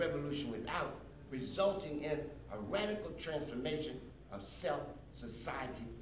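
Light background noise can be heard. The room echo is audible. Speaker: speaker. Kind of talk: lecture. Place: hall. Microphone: camera far.

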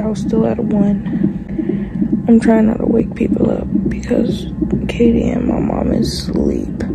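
A woman talks at a very slow pace against loud background noise. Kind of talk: casual vlog chat. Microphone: phone near.

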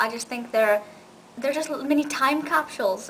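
Speech comes at a very fast pace with ordinary pitch variation. There is light background noise. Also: woman. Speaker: video reviewer. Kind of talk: casual vlog review. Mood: enthusiastic, warm. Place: home room. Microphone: webcam.

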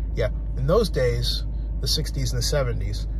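A man's very deep, low voice, monotone and flat, at a fairly slow pace, in a dry sound with no echo and noticeable background noise. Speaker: sports commentator vlogger. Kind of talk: commentary. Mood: warm, reflective tribute. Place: car. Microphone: phone near.

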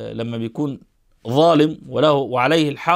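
A man with an Egyptian accent, ordinary pitch variation, and a quiet background. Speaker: Islamic scholar commentator. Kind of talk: eulogy talk to camera. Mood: calm, respectful eulogy. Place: home room. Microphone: lapel.

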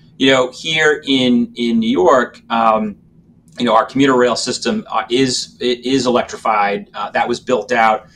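A man's normal speaking voice with an American accent, medium pitch, ordinary pitch variation and a fairly slow pace over light background noise. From Massachusetts, Randolph (Boston area); Massachusetts. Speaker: transit agency executive; panelist. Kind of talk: panel discussion. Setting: video call. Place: office. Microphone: video call.

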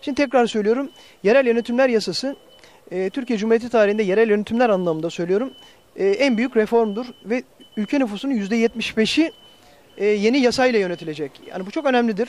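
A man talks at an extremely high pitch. The sound is dry, with no echo. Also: ordinary pitch variation, fairly quick pace. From Turkey, Akhisar (Manisa, Aegean region); Turkey. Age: 40s. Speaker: mayor and mayoral candidate; mayor, candidate. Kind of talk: interview. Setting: on location, industrial estate. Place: street. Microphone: handheld.

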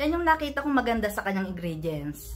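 A woman speaks with very wide pitch swings. Her tone is bright and sharp. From Philippines. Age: 40s. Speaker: beauty vlogger. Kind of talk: product review. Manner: halting. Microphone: phone near.

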